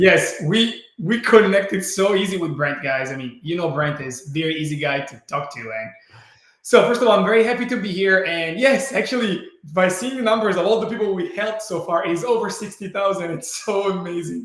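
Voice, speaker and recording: Audible room echo surrounds a man with an Italian accent whose high pitch rises and falls in lively intonation. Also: big swings in loudness. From Italy. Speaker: brain training entrepreneur. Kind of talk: webinar presentation.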